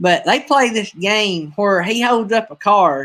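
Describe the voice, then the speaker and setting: The speaker talks at a fairly slow pace. A strong Southern US accent comes through clearly. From US South, North Alabama. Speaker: streamer and preacher. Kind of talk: casual live-stream chat.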